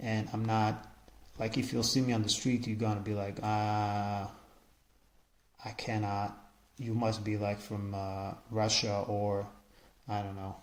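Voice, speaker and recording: A man with an Israeli accent speaks slowly-ish, at a fairly slow pace, in a fairly low pitch. His intonation is monotone and flat, and audible room echo surrounds him. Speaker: podcaster. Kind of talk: casual monologue. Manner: halting, many repetitions and fillers.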